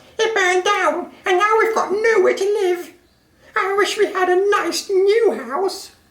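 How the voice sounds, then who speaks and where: A put-on, female-sounding character voice, squeaky and extremely high, goes along at a fairly slow pace. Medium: read story.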